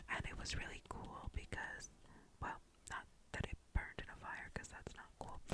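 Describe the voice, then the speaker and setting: A woman is whispering. Her voice is breathy. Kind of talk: ASMR storytime about a honeymoon in Europe. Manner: breathy, whispered, relaxing.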